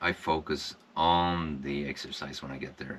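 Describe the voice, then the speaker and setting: A man with a Swedish accent speaks in a very deep, low pitch with a bright, sharp tone. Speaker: wellness vlogger, former construction worker. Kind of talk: personal reflection monologue. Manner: halting, many fillers.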